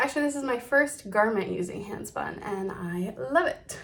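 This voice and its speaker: With lively intonation, a woman talks at a fairly quick pace over noticeable background noise. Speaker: knitting podcaster. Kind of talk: casual chat.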